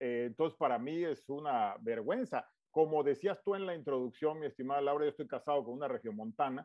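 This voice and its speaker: Speech in a Tabasco accent runs on with hardly any pauses. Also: man, fairly high pitch for a man, ordinary pitch variation, fairly quick pace. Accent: Tabasco Mexican Spanish. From Tabasco, Mexico. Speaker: politician and businessman. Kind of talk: interview.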